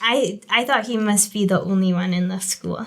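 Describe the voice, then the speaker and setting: A Spanish accent over noticeable background noise. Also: woman. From Mexico, with childhood years in England. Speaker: religious sister. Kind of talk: interview. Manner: hesitant, many fillers and restarts.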